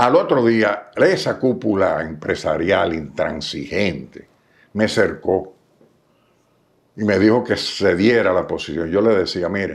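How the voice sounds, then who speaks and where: On a very clean recording with a silent background, a man with a fairly low pitch and ordinary pitch variation speaks at a very slow pace. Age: 80s+. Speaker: businessman and former government official. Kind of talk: interview.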